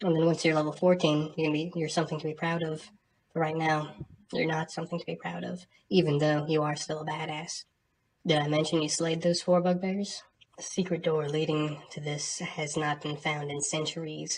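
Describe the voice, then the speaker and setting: Soft-spoken and somewhat breathy, a woman talks at a fairly quick pace in a very deep, low pitch with monotone, flat intonation. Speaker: game master reading dungeon descriptions. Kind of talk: tabletop dungeon narration to camera.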